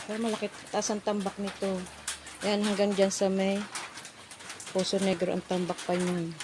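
There is noticeable noise in the background. A woman speaks with flat, monotone intonation. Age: middle-aged. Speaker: vlogger. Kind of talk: casual vlog narration. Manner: halting.

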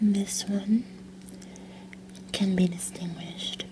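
A woman talks in a monotone, flat intonation over noticeable background noise. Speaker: role-play chocolatier shop clerk. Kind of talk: ASMR whisper roleplay, chocolate shop tasting. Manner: whispered, soft-spoken.

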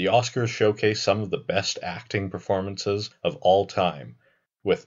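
This is a man with an ordinary speaking voice and a fairly low pitch. He talks at a fairly slow pace with ordinary pitch variation. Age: 20s. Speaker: YouTube film commentator. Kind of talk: scripted narration.

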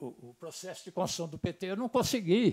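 A man with a high voice speaks at a moderate pace with lively intonation. The sound is dry with no echo, and the background is quiet. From São Paulo interior, Piracicaba; São Paulo state. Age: old. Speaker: trade unionist; speaker. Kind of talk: testimony. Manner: halting. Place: hall. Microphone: lapel.

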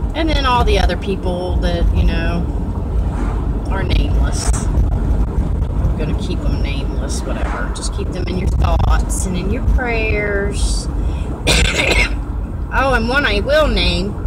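Amid loud background noise, a woman speaks very slowly, with long, frequent pauses. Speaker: vlogger. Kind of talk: casual vlog chat. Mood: warm, chatty. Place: car. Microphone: phone near.

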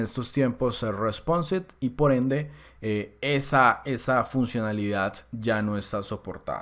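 Recorded very cleanly against a silent background, a man in a plain, everyday voice speaks at medium pitch and a fairly slow pace, with ordinary pitch variation. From Colombia. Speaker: programming course instructor. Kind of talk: tutorial. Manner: casual.

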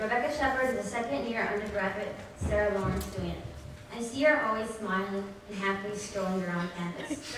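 The speech moves at a fairly quick pace, with strong room echo and noticeable background noise. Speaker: student host introducing reader. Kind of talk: formal introduction. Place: hall. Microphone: podium.

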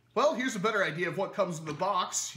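A man's raised, projected voice, high in pitch with lively intonation, over noticeable background noise. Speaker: toy blaster reviewer. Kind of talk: casual product review to camera.

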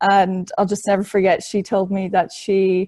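A woman with a Dublin accent speaks at a moderate pace in a medium pitch, her tone dark and mellow against a quiet background. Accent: Irish (Dublin). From Ireland, Dublin. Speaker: trainee in horse racing leadership program; panelist. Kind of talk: webinar presentation. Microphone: video call.

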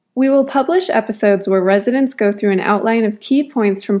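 With an American accent, a woman talks fairly quickly in an ordinary speaking voice, fairly high in pitch with ordinary pitch variation. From Wisconsin. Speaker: medical student. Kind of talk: scripted narration.

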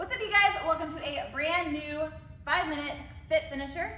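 A woman's raised, projected voice at a fairly quick pace, with audible room echo and light background noise. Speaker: fitness instructor. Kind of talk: workout tutorial. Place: gym. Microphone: camera far.

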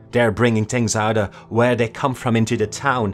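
A shrill, put-on character voice from a man at a moderate pace, with faint music in the background. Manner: shrill, frenzied, screaming.

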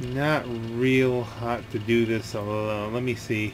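This is a normal speaking voice. Its intonation stays fairly even. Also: man. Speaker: gaming commentator. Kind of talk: casual let's play commentary.

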